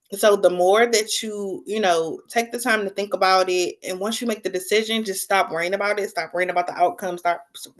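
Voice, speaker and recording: A woman speaks in a plain, everyday voice at a medium pitch and a fairly quick pace, with fairly even intonation and hardly any pauses. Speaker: book-talk livestream host. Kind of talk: casual livestream monologue. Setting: live stream with chat.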